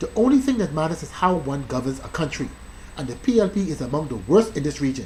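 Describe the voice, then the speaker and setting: A man at a very fast pace and fairly high pitch, with an animated tone, very wide pitch swings and big swings in loudness, amid noticeable background noise. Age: 40s. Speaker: political vlogger. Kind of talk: political commentary monologue.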